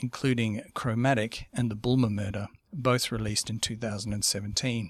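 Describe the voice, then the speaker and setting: In a normal speaking voice, a man at medium pitch talks with fairly even intonation, the sound dry and close with no echo over a quiet background. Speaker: podcast host. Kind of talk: scripted narration. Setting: studio.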